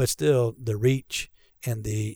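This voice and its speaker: Medium in pitch, a man's voice has a dark, mellow, somewhat breathy tone and fairly even intonation. He speaks fairly slowly in a very clean recording with a silent background. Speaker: pastor of recreation. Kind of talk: casual interview chat. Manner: joking, playful.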